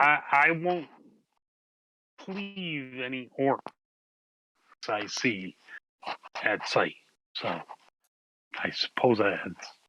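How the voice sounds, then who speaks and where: Using a put-on character voice at medium pitch, a man talks at a very slow pace with long, frequent pauses. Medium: actual play. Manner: blunt.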